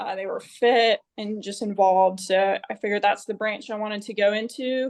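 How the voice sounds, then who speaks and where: Against a quiet background, a woman talks with a Southern US accent. Her pitch is medium and her intonation fairly even. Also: moderate pace. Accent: Southern twang. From US South, Georgia (Marietta, near Atlanta). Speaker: Marine Corps officer. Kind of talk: interview. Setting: remote call from home.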